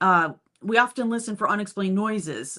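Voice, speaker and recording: This woman has a normal speaking voice at medium pitch. She talks at a moderate pace. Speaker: paranormal livestream host. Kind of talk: casual live chat discussion.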